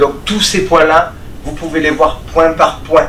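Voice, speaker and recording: A man speaks at a moderate pace with fairly high pitch. Audible room echo and noticeable background noise surround his voice. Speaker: martial arts instructor. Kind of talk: tutorial. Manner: calm, measured.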